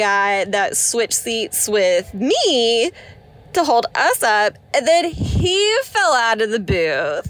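A woman's fairly high voice at a very slow pace, with very wide pitch swings, very even loudness and noticeable background noise. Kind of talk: casual chat.

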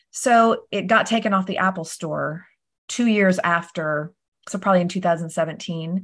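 She speaks at a moderate pace and a medium pitch. Her pitch varies in an ordinary way. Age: 40s. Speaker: real estate agent and author. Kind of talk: interview.

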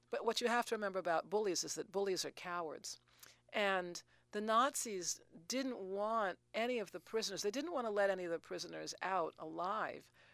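In a very clean recording with a silent background, a woman uses an unremarkable speaking voice at medium pitch, talking at a fairly quick pace with ordinary pitch variation. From New York City. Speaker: retired teacher and author. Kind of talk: interview.

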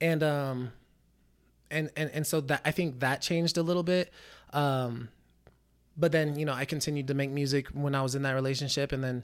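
An American accent at a moderate pace with long, frequent pauses, on a very clean recording with a silent background. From Reno, Nevada. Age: 20s. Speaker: musician. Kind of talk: casual chat.

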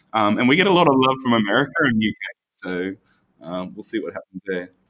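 This man has an Australian accent and a medium pitch. He talks at a fairly quick pace. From Australia, Brisbane. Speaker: architect, firm founder. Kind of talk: casual interview chat. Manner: halting, many restarts.

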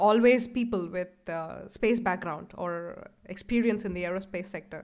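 A woman speaks in a normal speaking voice with ordinary pitch variation, captured on a very clean recording against a silent background. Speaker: podcast host. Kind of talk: casual interview conversation.

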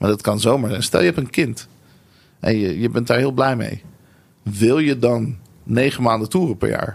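Vocal fry marks this man's medium-pitched voice, which moves at a moderate pace with ordinary pitch variation. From Netherlands (Nieuwegein), born in Tel Aviv. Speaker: creative entrepreneur, marketing and branding strategist. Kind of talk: interview. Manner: hesitant, many fillers.

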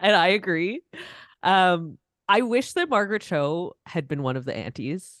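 An unremarkable speaking voice, this woman's sits at medium pitch with lively intonation, going at a fairly slow pace against a quiet background. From Canada. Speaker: rapper and singer. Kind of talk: casual chat.

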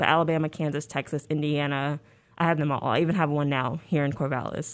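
A woman with a very deep, low pitch and ordinary pitch variation speaks at a fairly quick pace in a very clean recording with a silent background. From US, moved around (military family; born New Orleans). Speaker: graduate student in literature. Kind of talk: casual interview. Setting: radio studio.

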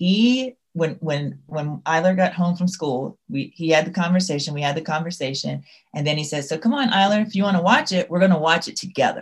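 Delivered at a fairly quick pace with hardly any pauses, the somewhat breathy voice has lively intonation and a Southern US accent. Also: woman, fairly low pitch for a woman. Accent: faint Southern. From Louisiana, US South. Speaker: school leader and author. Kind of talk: interview.

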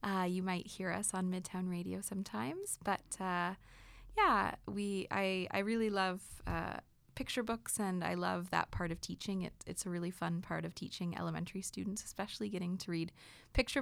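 In a Canadian accent, an unremarkable speaking voice moves at a fairly quick pace with ordinary pitch variation. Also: woman. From Kitchener area, Ontario, Canada. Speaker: supply teacher and musician. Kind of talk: casual chat. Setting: studio.

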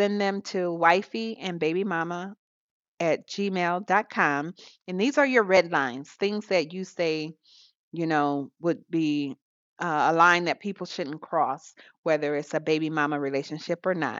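Here is a woman with an unremarkable speaking voice. Her pitch is fairly low with ordinary pitch variation, and her pace is fairly slow. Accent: American. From US South. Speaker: podcast co-host. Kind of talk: casual chat.

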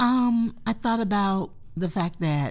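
The woman has an American accent. A slight breathiness runs through her voice. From North Carolina, US South. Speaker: museum director. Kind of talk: interview.

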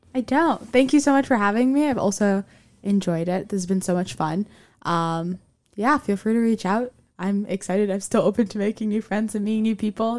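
A woman with an American accent speaks fairly quickly at a medium pitch, with ordinary pitch variation. It is an ordinary speaking voice on a very clean recording with a silent background. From Miami, US. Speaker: university student. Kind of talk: casual interview chat.

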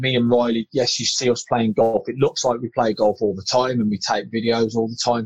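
This is a man with a medium pitch. The sound is dry and close, with no echo. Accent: British. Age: 30s. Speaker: air force serviceman and golf social media creator. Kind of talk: casual interview chat.

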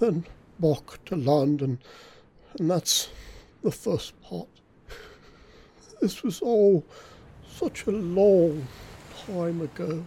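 Delivered in a put-on character voice at a middle pitch, the speech moves at a very slow pace with long, frequent pauses. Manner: sorrowful, self-important, wistful.

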